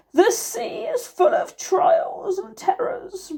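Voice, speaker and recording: A woman puts on a wheezy character voice. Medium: read story. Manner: slow, wise.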